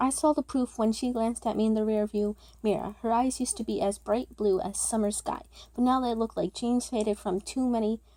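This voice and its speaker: Mumbled speech with a dark, mellow tone. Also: woman. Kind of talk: read story. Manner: occasional mumbling or stuttering; casual, amateur.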